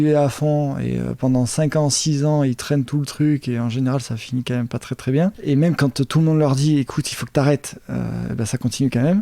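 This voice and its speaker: A man with a dark, mellow tone and fairly high pitch, in a dry, close sound with no echo. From Montpellier, southern France. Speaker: entrepreneur. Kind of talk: interview answer.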